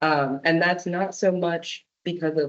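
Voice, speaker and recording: In a plain, everyday voice, a woman talks at a fairly slow pace with fairly low pitch. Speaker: arborist giving a public talk. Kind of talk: presentation with audience Q&A. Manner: casual, many fillers.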